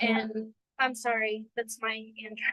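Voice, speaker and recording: A woman with a Guam accent speaks at a fairly high pitch. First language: Chamorro. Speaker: language student. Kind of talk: casual personal testimony. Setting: video call.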